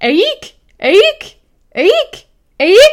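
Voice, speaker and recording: An extremely high, shrill put-on character voice leaps through very wide pitch swings. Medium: read story.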